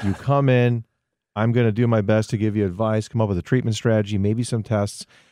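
A man with a fairly low pitch and a dark, mellow tone talks at a fairly quick pace with fairly even intonation, his dry, close sound carrying no echo against a quiet background. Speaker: primary care doctor. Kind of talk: radio interview. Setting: studio.

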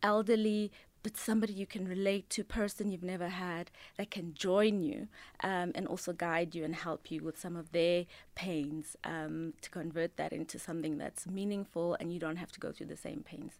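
In a very clean recording with a silent background, a woman speaks in a normal speaking voice. Her medium pitch holds fairly even intonation at a moderate pace. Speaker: management consultant and career coach. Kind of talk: casual radio interview. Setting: radio studio.

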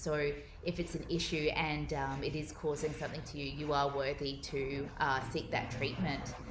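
A woman with an Australian accent speaks at a moderate pace in a very deep, low pitch. Audible room echo and noticeable background noise fill the recording. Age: 30s. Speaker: eating disorder advocate. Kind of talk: interview.

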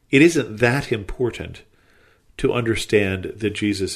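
A man speaks at a fairly slow pace. His voice is somewhat breathy against a quiet background. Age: 60s. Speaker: Bible study podcast host. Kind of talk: Bible teaching.

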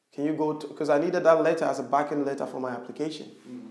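Talking at a very fast pace with fairly even intonation, a man uses a fairly high pitch amid audible room echo. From Ghana, rural Western Region. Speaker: social entrepreneur. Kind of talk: interview conversation.

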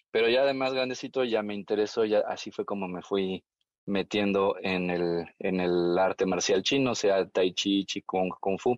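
A man speaks in an ordinary speaking voice, pitched fairly low. His pace is fairly slow, with ordinary pitch variation. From Mexico. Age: 40s. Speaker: tai chi teacher. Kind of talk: interview.

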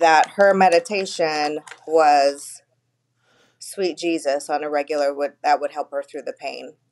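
With an American accent, the speaker talks at a fairly slow pace with fairly even intonation and big swings in loudness, in a dry, close sound with no echo. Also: woman, very deep, low pitch for a woman. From California (Bakersfield). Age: 50s. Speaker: grieving daughter, friend of host. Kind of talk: casual chat.

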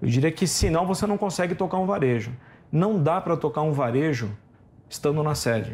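With lively intonation and very even loudness, the voice comes across somewhat breathy. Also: man, fairly high pitch for a man. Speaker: retail company CEO. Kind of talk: interview.

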